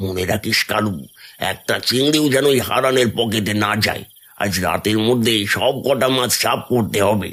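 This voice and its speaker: A man uses a cartoonish character voice at a medium pitch with ordinary pitch variation. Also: moderate pace. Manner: bossy, conniving.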